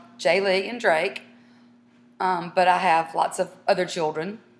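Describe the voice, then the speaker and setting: In a Southern US accent, a woman talks at a fairly slow pace. Her pitch sits at a medium level with ordinary variation. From South Carolina. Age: 40s. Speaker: mother in a family casting tape. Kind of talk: casting interview.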